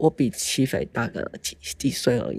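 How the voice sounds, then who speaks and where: The woman's tone is dark and mellow. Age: 50s. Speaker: mother of abuse survivor. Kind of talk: testimony. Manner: halting.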